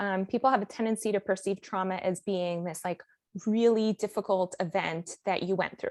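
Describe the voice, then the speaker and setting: A woman with an American accent speaks in an ordinary speaking voice at a medium pitch and a fairly quick pace. The background is quiet, and the sound is dry and close with no echo. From Miami, US. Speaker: life coach and author. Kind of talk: podcast interview.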